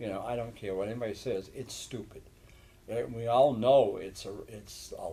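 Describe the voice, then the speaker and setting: Somewhat breathy and dark, mellow in tone, a man talks at medium pitch and a moderate pace, with ordinary pitch variation and big swings in loudness. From New Hampshire. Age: 60s. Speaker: talk show host and state representative. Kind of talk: casual chat. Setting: church.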